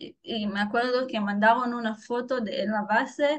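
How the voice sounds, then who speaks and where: A woman speaks at a very slow pace. Her fairly high pitch varies in an ordinary way. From Israel. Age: 20s. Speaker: former soldier. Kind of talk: interview testimony. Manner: halting.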